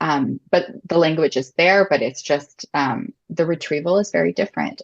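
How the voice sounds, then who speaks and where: A woman speaks with a very deep, low pitch. The sound is dry and close, with no echo. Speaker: adoptive mom. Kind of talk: interview conversation.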